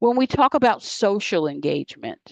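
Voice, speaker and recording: A woman speaks at a fairly slow pace. The sound is dry and close with no echo, over a quiet background. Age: 60s. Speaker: health educator. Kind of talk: lecture.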